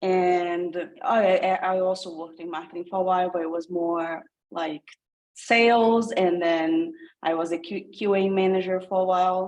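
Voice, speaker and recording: Speaking in a Brazilian accent, the voice moves at a moderate pace with ordinary pitch variation. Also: woman. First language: Portuguese. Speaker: coding program participant. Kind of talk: casual self-introduction.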